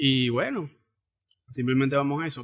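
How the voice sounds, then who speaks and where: A man speaks with a Zulian accent. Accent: Venezuelan Zulian (maracucho) Spanish. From Venezuela, Zulia (Cabimas). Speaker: podcast host. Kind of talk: casual chat.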